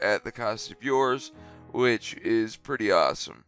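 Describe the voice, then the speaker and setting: Music plays in the background as a man talks at a medium pitch and moderate pace. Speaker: gaming YouTuber. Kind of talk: game guide commentary. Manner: casual.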